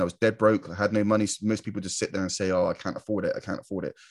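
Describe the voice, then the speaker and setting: A man with a British accent and a fairly low pitch speaks at a very fast pace. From UK. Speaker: online marketer and YouTuber. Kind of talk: monologue to camera. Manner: casual, filler-heavy.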